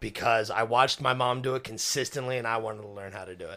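A man with a bright, sharp tone in a very clean recording with a silent background. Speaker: podcast co-host. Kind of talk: casual comedic chat.

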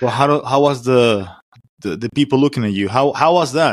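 A man is speaking. He has a Spanish accent. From Venezuela. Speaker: podcast host. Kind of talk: casual interview. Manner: informal, laughs often.

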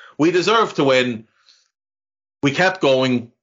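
A man talks in an Irish accent. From Ireland. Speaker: football podcaster. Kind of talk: casual chat.

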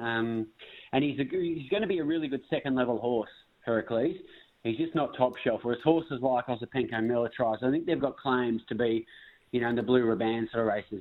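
A man in an Australian accent, medium in pitch with ordinary variation, at a very fast pace. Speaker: racing analyst.

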